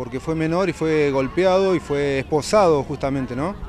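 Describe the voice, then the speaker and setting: At a fairly slow pace, a man with a fairly high pitch and ordinary pitch variation speaks over noticeable background noise. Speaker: news presenter. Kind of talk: news presenting.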